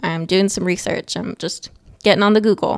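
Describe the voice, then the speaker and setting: A woman speaks in a plain, everyday voice at a moderate pace. Her medium pitch shows ordinary variation, and the sound is dry and close with no echo. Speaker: podcast host and aspiring author. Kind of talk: solo podcast monologue. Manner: casual, conversational.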